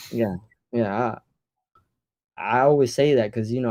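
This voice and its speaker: A man's dark, mellow voice at medium pitch, fairly quick pace and fairly even intonation, against a quiet background. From Puerto Rico, raised in Florida (Orlando). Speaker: music producer. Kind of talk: casual chat.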